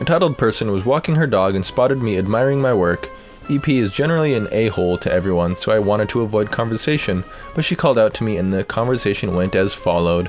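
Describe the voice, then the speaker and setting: With music in the background, a man speaks at a very fast pace, his medium pitch carrying lively intonation. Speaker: voice actor. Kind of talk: reddit story narration.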